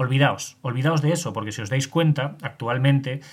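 Moderately paced speech from a man, somewhat breathy, with ordinary pitch variation. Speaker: solo podcast host on mythology and history. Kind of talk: solo educational podcast monologue. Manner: hesitant, many fillers and restarts.

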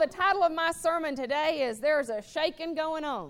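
There is crowd noise in the background. A woman speaks at a high pitch with ordinary pitch variation. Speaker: preacher. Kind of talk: sermon. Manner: animated.

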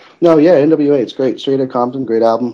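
The man's voice shows ordinary pitch variation. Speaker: podcast co-host. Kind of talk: casual chat. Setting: online group call. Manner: calm, sounds sarcastic.

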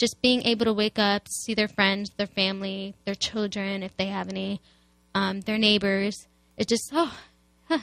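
A normal speaking voice from a woman at medium pitch with an American accent and ordinary pitch variation, in a dry, close sound with no echo and a very clean recording with a silent background. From US Midwest, Chicago. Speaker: student activist. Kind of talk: radio interview.

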